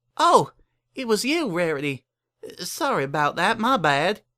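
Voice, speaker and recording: At a moderate pace, a woman of medium pitch puts on a character voice with very wide pitch swings. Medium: read story. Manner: refined, genteel.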